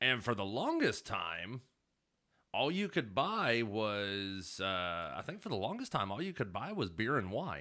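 Speaking with an Alabama accent, a man talks at a fairly slow pace in a fairly low pitch with very wide pitch swings. His tone is bright and sharp, and the recording is very clean with a silent background. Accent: Southern US (Alabama). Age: 30s. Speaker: podcast co-host, former Marine. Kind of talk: casual chat.

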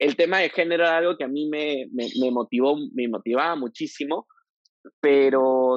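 A man with a fairly high pitch is heard in a dry, close sound with no echo. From Peru, Piura. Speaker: LGBTQ rights activist. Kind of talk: interview conversation.

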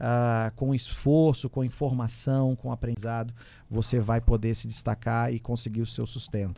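A man speaks at a moderate pace in a dark, mellow tone. The recording is very clean and the background silent. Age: 30s. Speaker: entrepreneurship commentator. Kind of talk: radio talk show. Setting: studio.

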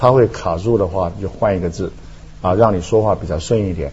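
Man with a normal speaking voice, fairly low pitch, ordinary pitch variation and a moderate pace. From Taiwan. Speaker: philosophy professor. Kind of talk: talk show discussion.

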